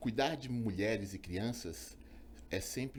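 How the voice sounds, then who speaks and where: The intonation is lively and the pace fairly slow, with vocal fry running through the voice. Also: man. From Brazil, Belo Horizonte (Minas Gerais). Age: 50s. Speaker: physician, obstetrician. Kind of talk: interview, personal story. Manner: hesitant, many fillers.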